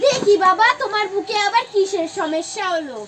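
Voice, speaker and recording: This is a cartoonish character voice from a woman, pitched extremely high. She talks at a moderate pace over clear background noise. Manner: curt, scolding.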